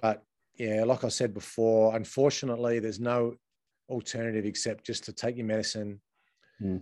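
A man with an Australian accent speaks at a fairly quick pace, his medium pitch carrying a dark, mellow tone. His intonation is monotone and flat, broken by long, frequent pauses. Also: very clean recording, silent background. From Adelaide, South Australia. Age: 40s. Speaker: former footballer and coach. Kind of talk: casual interview.

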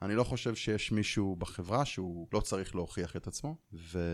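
A man's fairly quick delivery with lively intonation, on a very clean recording with a silent background. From Israel. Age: 40s. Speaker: software team lead. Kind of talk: interview.

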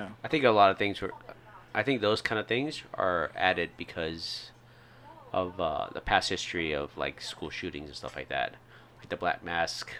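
A man with an American accent and a very deep, low pitch, lively intonation, big swings in loudness, and a moderate pace. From Indiana, US Midwest. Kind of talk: casual chat, podcast banter.

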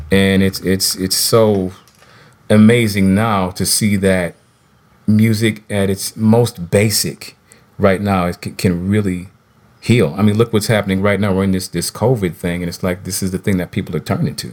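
An ordinary speaking voice from a man with an American accent, pitched fairly low. He keeps a moderate pace and fairly even intonation. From Minnesota, St. Paul. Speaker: singer and musician. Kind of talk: casual interview. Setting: video call from home.

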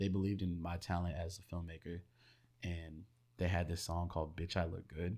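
A man with an American accent speaks at a fairly quick pace in a very deep, low pitch. His tone is dark and mellow, his intonation monotone and flat. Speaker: video and music creator. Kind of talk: casual chat. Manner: talkative.

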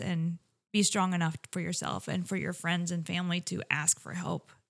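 The recording is very clean with a silent background, carrying a woman's ordinary speaking voice with an American accent. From Iowa. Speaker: paramedic. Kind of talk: interview.

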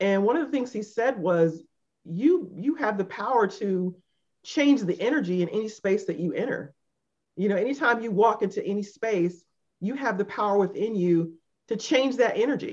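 Lively in intonation, a woman with an unremarkable speaking voice and fairly high pitch speaks at a moderate pace. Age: 50s. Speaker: podcast co-host. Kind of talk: casual chat.

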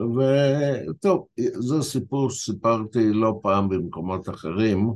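Against a quiet background, a man speaks in a medium pitch. His intonation is lively. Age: 70s. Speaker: translator and editor. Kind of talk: interview storytelling.

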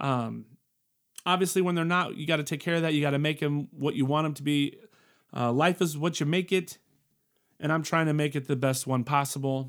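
A man with a fairly high pitch speaks with fairly even intonation and long, frequent pauses. The recording is very clean, with a silent background. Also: fairly quick pace. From military family, moved around the world; born Colorado. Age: 40s. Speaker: podcast host. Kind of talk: casual monologue. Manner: casual with frequent fillers.

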